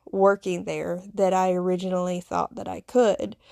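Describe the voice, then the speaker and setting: A woman speaks at medium pitch with a Southern US accent. The recording is very clean with a silent background, and the sound is dry and close with no echo. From US South, Appalachian foothills. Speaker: podcast host, nurse. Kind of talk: personal storytelling monologue. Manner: hesitant with fillers.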